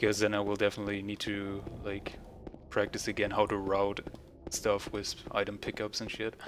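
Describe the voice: With a continental European accent, the speaker keeps a moderate pace. The tone is fairly bright and the intonation monotone and flat. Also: man, fairly low pitch for a man. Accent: non-native English, continental European.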